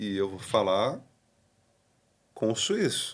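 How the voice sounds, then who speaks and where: The man talks at a very slow pace. His pitch is fairly low. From Brazil. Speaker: pastor. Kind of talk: podcast interview. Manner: casual.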